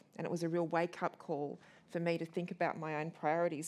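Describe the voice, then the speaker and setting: Speaking very fast in an Australian accent, a woman keeps a fairly low pitch and fairly even intonation. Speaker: interviewer and festival co-curator; interviewer. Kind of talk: onstage interview. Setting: stage with audience. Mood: warm, respectful. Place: hall.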